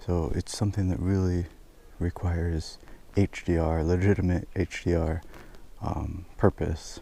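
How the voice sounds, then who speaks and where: A quiet man with a very deep, low pitch, a dark, mellow tone, somewhat breathy and with fairly even intonation. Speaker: travel photographer, vlogger. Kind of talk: on-location vlog commentary. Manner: quiet, low voice.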